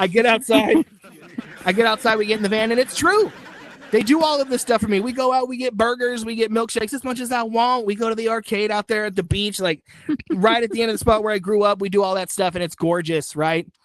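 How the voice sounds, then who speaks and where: Very fast and animated, a man talks at a high pitch with ordinary pitch variation. Noticeable background noise can be heard. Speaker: stand-up comedian. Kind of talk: stand-up.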